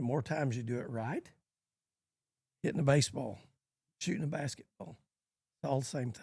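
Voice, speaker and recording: A man speaks at a fairly quick pace with long, frequent pauses. His voice is somewhat breathy, medium in pitch, with ordinary pitch variation. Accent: American. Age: 70s. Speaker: cutting horse trainer. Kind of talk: podcast interview.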